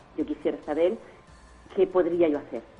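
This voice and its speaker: A woman with a very deep, low pitch, music in the background. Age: 60s. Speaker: caller. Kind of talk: call-in question. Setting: phone call. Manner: halting.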